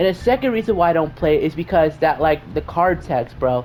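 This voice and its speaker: Background noise is noticeable. A woman talks at a moderate pace over it. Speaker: gaming YouTuber. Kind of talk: casual gaming commentary. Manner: halting, many fillers and restarts.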